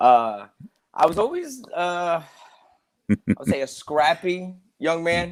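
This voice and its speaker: An American accent at a very slow pace, with long, frequent pauses and very wide pitch swings. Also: man, high pitch for a man. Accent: New Jersey-like. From Georgia, US South. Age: 20s. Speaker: karate instructor. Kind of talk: casual interview. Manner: polite, frequent 'yes, sir'.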